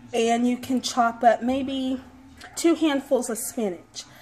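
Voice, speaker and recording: A woman talks with a high pitch. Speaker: home cook vlogger. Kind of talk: casual cooking tutorial. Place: kitchen.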